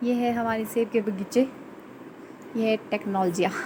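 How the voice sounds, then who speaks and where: A soft-spoken woman talks at a fairly high pitch with monotone, flat intonation. Noticeable background noise runs underneath. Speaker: vlogger. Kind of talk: casual vlog narration. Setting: outdoors in garden. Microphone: too quiet.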